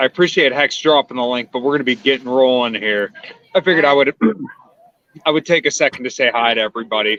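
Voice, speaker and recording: The sound is dry and close with no echo. A man in a Pittsburgh accent talks at a very fast pace, at a medium pitch with ordinary pitch variation. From western Pennsylvania, Pittsburgh area. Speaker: stream guest. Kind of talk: casual chat.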